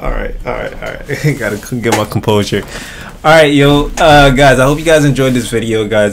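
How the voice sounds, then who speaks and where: A man speaks with lively intonation. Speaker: youtuber. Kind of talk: casual vlog chat, reaction outro. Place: home room.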